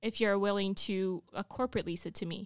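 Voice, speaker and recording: A woman speaks at medium pitch and a moderate pace with fairly even intonation, in a dry, close sound with no echo on a very clean recording with a silent background. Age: 20s. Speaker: real estate investor. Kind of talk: casual chat.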